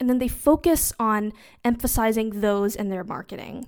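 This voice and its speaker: A woman speaks in an animated tone at a fairly slow pace. The recording is very clean, with a silent background. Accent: Californian. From US West (Southern California). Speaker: business coach and podcast host. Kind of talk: solo podcast monologue, live-streamed teaching. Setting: Instagram live recording. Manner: casual, animated with frequent laughs.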